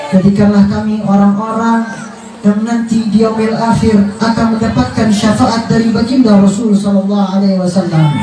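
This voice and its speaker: Speaking with a slight Jakarta accent, a man with a high pitch and fairly even intonation talks at a moderate pace, with crowd noise in the background and audible room echo. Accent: slight Betawi. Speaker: Islamic preacher. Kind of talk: prayer; sermon. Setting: Islamic boarding school event.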